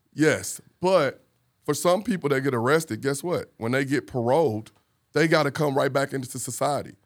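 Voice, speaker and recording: On a very clean recording with a silent background, a plain, everyday voice talks at a moderate tempo, its pitch varying in an ordinary way. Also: man, fairly high pitch for a man. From St. Louis, Missouri, US. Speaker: former police officer, community organizer. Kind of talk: casual chat. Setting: studio.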